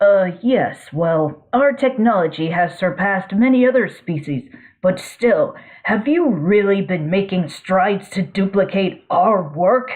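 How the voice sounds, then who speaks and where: The speaker puts on a character voice pitched in the middle range. Delivery is rather slow. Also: female-sounding voice. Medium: read story. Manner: formal, measured, condescending.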